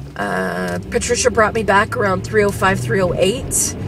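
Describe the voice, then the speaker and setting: A woman's tired tone with lively intonation at a fairly slow pace, in a dry sound with no echo and noticeable background noise. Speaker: vlogger. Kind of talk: casual vlog chat. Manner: sick, frustrated, tired voice. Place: car. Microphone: phone near.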